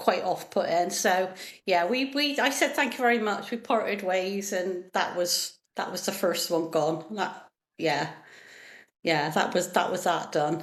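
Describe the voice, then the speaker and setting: A woman with an ordinary speaking voice talks at a medium pitch and a fairly slow pace, her intonation lively. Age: 50s. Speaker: NHS worker. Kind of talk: podcast interview answer. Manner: chatty, laughing storytelling.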